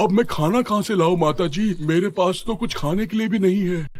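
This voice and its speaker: Using a cartoonish character voice, a man talks at a fairly quick pace and a high pitch. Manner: drowsy, whiny.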